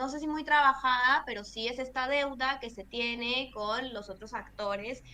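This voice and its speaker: A woman's high voice has a bright, sharp tone and ordinary pitch variation. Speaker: environmental lawyer and activist. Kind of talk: interview.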